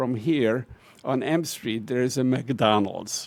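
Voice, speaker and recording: A man talks with a Hungarian accent. His pace is very slow. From Hungary. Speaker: professor. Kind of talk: farewell speech. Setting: auditorium with audience. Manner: halting.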